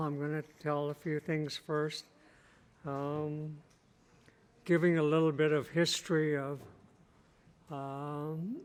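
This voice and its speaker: With an American accent, a man speaks at a fairly high pitch and a fairly slow pace, in a monotone, flat intonation broken by long, frequent pauses. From US Pacific Northwest, Lummi Nation. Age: 70s. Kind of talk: keynote speech. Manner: halting, with fillers.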